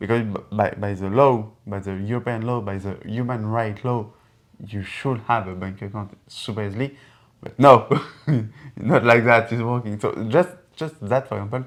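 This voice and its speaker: A man with a French accent speaks at a moderate pace and a medium pitch, with ordinary pitch variation and big swings in loudness. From France. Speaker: engineer and entrepreneur. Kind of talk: casual conversation. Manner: halting, many repetitions.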